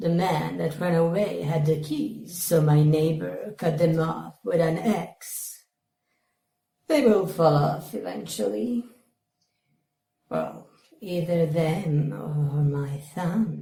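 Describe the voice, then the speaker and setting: A put-on character voice at a middle pitch, very slow, with long, frequent pauses. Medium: comedy sketch. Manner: deadpan, blunt.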